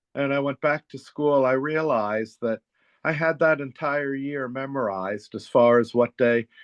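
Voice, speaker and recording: With ordinary pitch variation, a man delivers his words at a moderate speed. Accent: American. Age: 60s. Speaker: therapist and author. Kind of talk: interview conversation.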